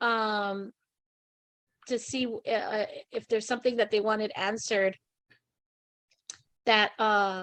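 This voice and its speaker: A woman is talking. She uses ordinary pitch variation. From Hawaii. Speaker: talk show host. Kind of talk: casual interview chat.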